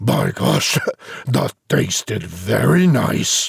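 A put-on character voice rumbles along at a very slow pace with vocal fry and a husky, rough edge. Its pitch swings widely.

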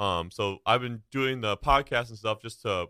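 The speaker is a man at medium pitch. He has an ordinary speaking voice with ordinary pitch variation. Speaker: podcaster and media student. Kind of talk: casual interview chat. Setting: live video stream.

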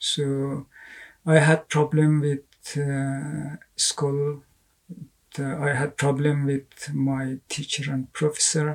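This man speaks with an Afghan accent at a very slow pace and a fairly high pitch. His voice is somewhat breathy, his intonation monotone and flat. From Afghanistan. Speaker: writer and artist. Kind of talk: interview. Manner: halting.

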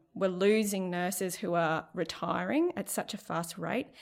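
A woman's medium-pitched voice in an Australian accent, with ordinary pitch variation and a moderate pace, on a very clean recording against a silent background. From Central Queensland, Australia. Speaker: nursing lecturer. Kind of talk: casual interview.

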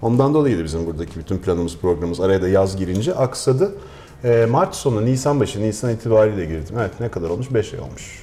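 A man with a fairly low pitch talks very fast with lively intonation against noticeable background noise. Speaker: chef. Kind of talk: casual chat.

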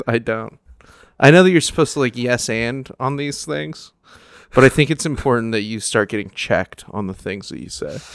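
Against a very clean, silent background, a man speaks at a moderate pace in a normal speaking voice with lively intonation. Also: medium pitch for a man. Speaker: comedian. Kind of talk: casual chat.

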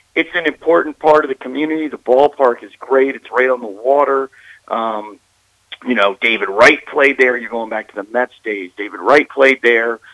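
A man's medium pitch in a plain, everyday voice with an American accent, at a moderate pace, with ordinary pitch variation and big swings in loudness. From Maryland. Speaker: sports broadcaster. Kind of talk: interview. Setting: phone call.

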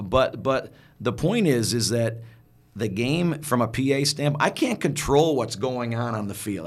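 A man uses an ordinary speaking voice at a medium pitch, talking at a fairly slow pace with lively intonation. The recording is very clean, with a silent background. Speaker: stadium PA announcer and football educator. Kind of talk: interview answers, casual conversation. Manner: conversational, with many filler words and restarts.

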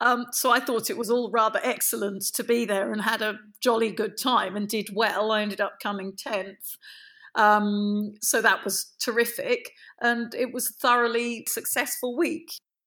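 A woman's fairly high, bright, sharp voice in a southern English accent, with fairly even intonation at a moderate pace, in a very clean recording with a silent background. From London. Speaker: dressage rider and trainer. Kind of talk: interview.

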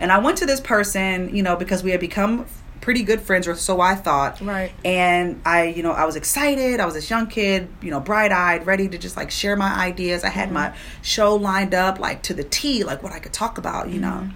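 A woman with an American accent speaks with ordinary pitch variation over noticeable background noise and audible room echo. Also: medium pitch for a woman, fairly quick pace. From Prince George's County, Maryland, US. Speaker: radio personality. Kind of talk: interview, personal story.

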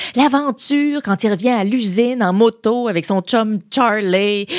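A woman with a Quebec accent speaks fairly slowly in an animated tone with lively intonation, the sound dry and close with no echo and the recording very clean with a silent background. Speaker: podcast host. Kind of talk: scripted narration with humor. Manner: animated, humorous.

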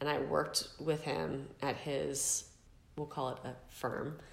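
A woman with a Californian accent speaks at a very deep, low pitch. Room echo can be heard. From San Diego, California. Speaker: podcast guest, former mortgage banker. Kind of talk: interview, casual storytelling.

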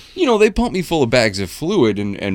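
A man's ordinary speaking voice, lively in intonation at a fairly quick pace. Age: 40s. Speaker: podcast co-host. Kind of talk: casual chat.

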